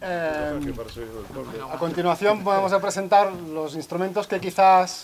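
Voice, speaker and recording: A man with a slight Catalan accent speaks at a very slow pace and a high pitch. Noticeable background noise runs underneath. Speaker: musician and ensemble spokesman. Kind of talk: concert talk introducing instruments. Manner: hesitant, many fillers.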